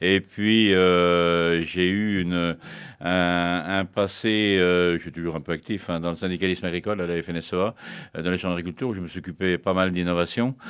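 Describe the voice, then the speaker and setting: A man speaks in a very deep, low voice at a moderate pace, his intonation monotone and flat. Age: 60s. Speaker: retired livestock farmer and speaker on farm tech. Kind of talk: interview. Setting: studio. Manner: halting, many fillers.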